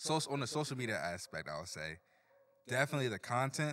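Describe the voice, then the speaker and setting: The speaker is a man with an American accent. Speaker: team member helping produce the podcast. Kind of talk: casual chat.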